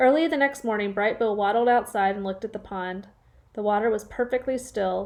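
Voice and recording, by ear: There is ordinary pitch variation as the speaker is reading aloud in a natural voice.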